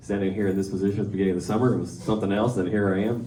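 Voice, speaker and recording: With an American accent, a man speaks at a very deep, low pitch and fairly even intonation, and room echo is audible. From East Texas. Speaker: school principal. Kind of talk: speech.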